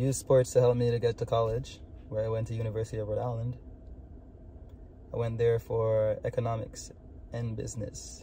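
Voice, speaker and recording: In a Jamaican accent, a man at medium pitch talks at a fairly quick pace with monotone, flat intonation and long, frequent pauses. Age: 20s. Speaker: vlogger. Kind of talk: personal vlog monologue. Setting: in a car. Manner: casual, filler-heavy.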